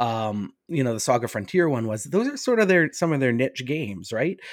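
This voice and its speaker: The voice is an unremarkable speaking voice. The recording is very clean, dry and close, with no echo and a silent background. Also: man. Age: 30s. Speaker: author and games writer. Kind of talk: casual chat.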